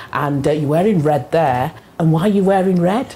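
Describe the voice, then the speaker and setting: A woman at a fairly quick pace with ordinary pitch variation, amid noticeable background noise. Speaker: radio host. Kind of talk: casual chat. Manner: animated.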